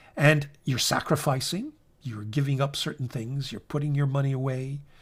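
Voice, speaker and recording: A somewhat breathy man's voice of medium pitch at a moderate pace, on a very clean recording with a silent background. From Italy (Naples). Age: 60s. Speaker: fountain pen YouTuber. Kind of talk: monologue video essay. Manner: relaxed, conversational.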